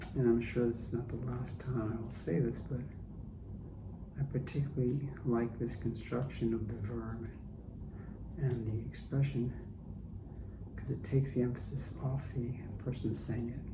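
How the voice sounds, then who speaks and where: Soft-spoken and gentle in tone, this voice moves at a moderate pace with ordinary pitch variation and long, frequent pauses. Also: man, medium pitch for a man. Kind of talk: ASMR soft-spoken commentary. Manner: soft-spoken, gentle.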